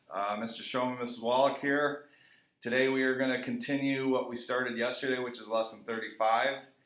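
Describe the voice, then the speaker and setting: With audible room echo, a man talks at a moderate pace and a medium pitch. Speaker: middle school math teacher. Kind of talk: recorded math lesson.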